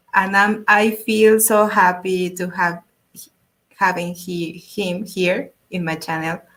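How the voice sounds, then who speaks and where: Speaking at a very slow pace, a woman with a Spanish accent has a medium pitch and fairly even intonation. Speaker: YouTube art channel host. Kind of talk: interview. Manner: halting.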